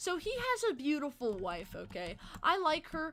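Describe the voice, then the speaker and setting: The voice is raised and projected, its pitch swinging very widely. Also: woman. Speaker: livestreamer. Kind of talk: casual chat. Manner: fast.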